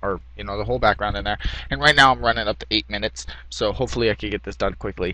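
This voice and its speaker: Very deep and low yet bright and sharp in tone, a man's voice rushes at a very fast pace with very wide pitch swings and vocal fry. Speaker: graphic design tutorial maker. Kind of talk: tutorial. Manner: halting, many fillers.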